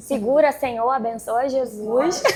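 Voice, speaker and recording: Over noticeable background noise, a woman with a high pitch talks at a fairly slow pace with fairly even intonation. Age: 30s. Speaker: real estate agent and vlogger. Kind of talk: panel talk at event.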